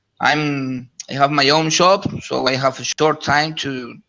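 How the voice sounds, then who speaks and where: With a Spanish accent, a man speaks at a very slow pace in a fairly high pitch with ordinary variation. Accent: Spanish-speaking accent in English. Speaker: shop owner and network marketer. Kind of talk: casual group chat. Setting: live video chat online. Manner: halting, many repetitions.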